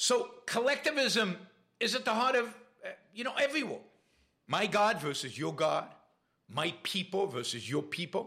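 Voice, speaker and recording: A man with a high, bright, sharp voice speaks at a moderate pace with very wide pitch swings. His voice is raised and projected, with long, frequent pauses. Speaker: podcast host. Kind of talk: casual livestream monologue. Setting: live stream with chat.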